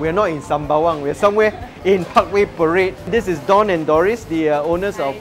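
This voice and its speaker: Clear music plays in the background. The pace is moderate. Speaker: food show host. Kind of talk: interview questions and casual commentary. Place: hall. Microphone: lapel.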